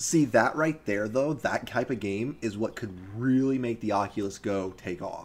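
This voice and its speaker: A man's medium-pitched voice at a moderate pace, on a very clean recording with a silent background. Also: ordinary pitch variation. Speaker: gaming podcast host. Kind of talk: casual chat. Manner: animated, chatty.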